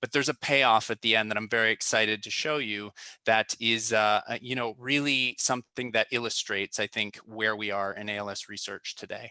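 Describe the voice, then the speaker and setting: A man's bright, sharp voice at a fairly quick pace with hardly any pauses and fairly even intonation, in a very clean recording with a silent background and dry, close sound with no echo. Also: medium pitch for a man. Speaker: researcher. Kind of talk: lecture. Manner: fast.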